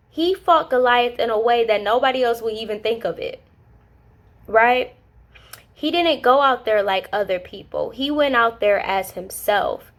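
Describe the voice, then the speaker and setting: A woman speaks in a high, animated voice with lively intonation at a moderate pace. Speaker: Bible study vlogger. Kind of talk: casual Bible teaching.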